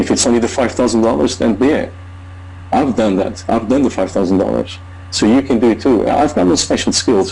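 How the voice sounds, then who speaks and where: A man talks at a fairly quick pace in a fairly low voice with ordinary pitch variation. His loudness stays very even, and there is noticeable background noise. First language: not English. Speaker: online marketer. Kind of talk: testimony. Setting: video call.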